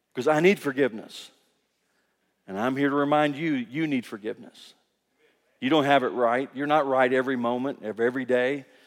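Medium-pitched male speech in a Kentucky accent, fairly quick yet broken by long, frequent pauses, with fairly even intonation on a very clean recording with a silent background. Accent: Kentucky Southern American. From US South, Kentucky. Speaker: pastor. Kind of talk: sermon. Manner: halting.

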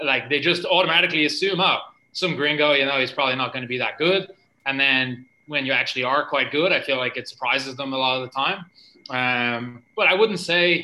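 A man's fairly high, bright and sharp voice in a Dublin accent, at a fairly quick pace. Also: ordinary pitch variation. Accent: Irish (Dublin). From Ireland. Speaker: jiu-jitsu coach and athlete. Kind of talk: casual interview.

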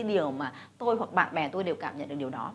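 Speaking at a very fast pace, a woman shows vocal fry and very wide pitch swings. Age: 40s. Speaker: businesswoman and investor. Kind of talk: motivational talk to camera.

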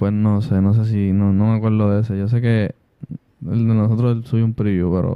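A man talks in a fairly low pitch with a dark, mellow tone and fairly even intonation. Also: moderate pace. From Puerto Rico, Villa Palmera (San Juan). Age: 20s. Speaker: rapper. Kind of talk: casual chat.

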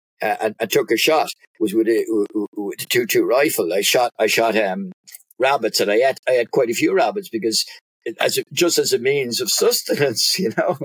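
Speaking at a moderate pace, a man with a medium pitch and a slightly husky edge comes through in a dry, close sound without echo. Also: ordinary pitch variation.

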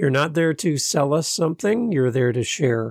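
Recorded very cleanly with a silent background and a dry, close sound with no echo, a man speaks in a normal speaking voice at a fairly quick pace with ordinary pitch variation. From Canada. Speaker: podcast host. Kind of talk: casual interview chat.

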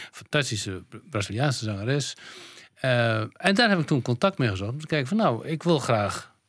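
A man's medium-pitched voice with very wide pitch swings, a moderate pace and long, frequent pauses, on a very clean recording with a silent background. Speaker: composer and bandleader. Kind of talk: interview. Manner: halting.

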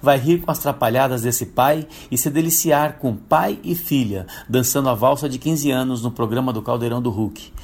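A man speaks in a medium pitch at a moderate pace with ordinary pitch variation. His is a plain, everyday voice. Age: 50s. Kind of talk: prepared testimony. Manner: formal.

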